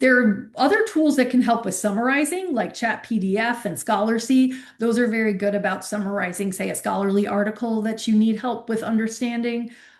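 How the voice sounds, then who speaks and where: Fairly quick, with hardly any pauses, ordinary pitch variation, a somewhat breathy voice and audible room echo. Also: woman, fairly high pitch for a woman. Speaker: university librarian. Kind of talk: workshop lecture.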